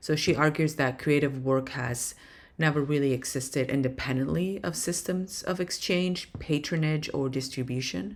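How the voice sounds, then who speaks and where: This woman has a non-native accent and a very deep, low pitch. Room echo is audible. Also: ordinary pitch variation, moderate pace. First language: not English. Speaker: professor. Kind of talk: lecture. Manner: hesitant, many fillers.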